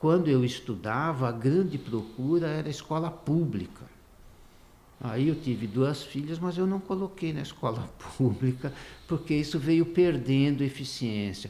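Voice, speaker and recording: A man's fairly high voice with a dark, mellow tone, lively intonation and a fairly slow pace. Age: 70s. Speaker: economist. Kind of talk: podcast interview.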